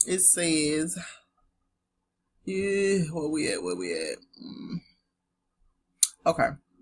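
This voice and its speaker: Speaking with a Southern US accent, a woman goes at a very slow pace with long, frequent pauses. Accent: southern twang. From US South. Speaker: online teacher. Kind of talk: casual teaching talk with reading aloud. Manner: casual, chatty.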